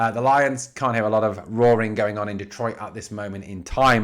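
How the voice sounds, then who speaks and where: A man with an English accent speaks at a very fast pace on a very clean recording with a silent background. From England. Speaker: sports podcaster. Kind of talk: sports news commentary. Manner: animated.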